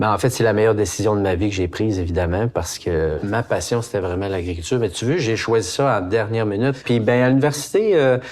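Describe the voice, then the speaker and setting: Over noticeable background noise, a man with a Quebec accent talks at a fairly quick pace. His pitch is medium, with ordinary variation. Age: 60s. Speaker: organic farmer and meat processor. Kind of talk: casual interview.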